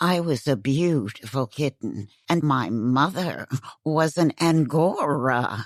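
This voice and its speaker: A woman's put-on character voice, very deep and low, at a fairly slow pace, on a very clean recording with a silent background. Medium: read story. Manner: grandiose, theatrical.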